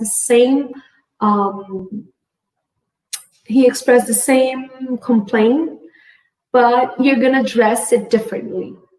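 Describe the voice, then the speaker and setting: A woman's high voice with a Portuguese accent at a very slow pace, with long, frequent pauses, fairly even intonation and very even loudness. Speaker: integrative medicine physician. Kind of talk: conference talk. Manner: halting.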